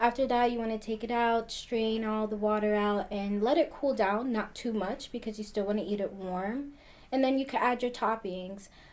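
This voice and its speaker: A woman speaks in an ordinary speaking voice with an American accent, her pitch fairly high. Her intonation stays fairly even at a moderate pace. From New Jersey (New Brunswick). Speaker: community health program coordinator. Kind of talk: pre-recorded video segment, cooking demonstration.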